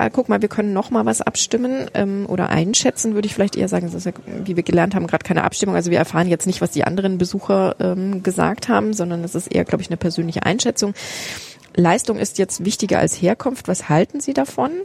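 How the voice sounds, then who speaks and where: Talking at a very fast pace, a woman uses lively intonation and a medium pitch. Noticeable background noise is present, though the sound is dry and close with no echo. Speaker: foundation program director. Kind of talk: casual walking museum tour conversation. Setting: walking through a crowded museum.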